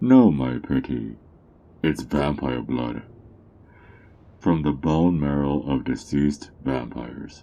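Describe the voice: In a put-on character voice with a dark, mellow tone and vocal fry, the speaker goes at a slow pace with long, frequent pauses and lively intonation. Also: man, extremely low pitch for a man.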